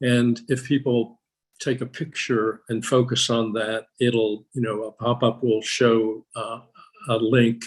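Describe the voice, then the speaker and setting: The voice stays flat and monotone. It moves at a very slow pace. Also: man, medium pitch for a man. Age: 70s. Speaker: portrait artist. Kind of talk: panel discussion. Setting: video call. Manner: halting, many fillers and repeats.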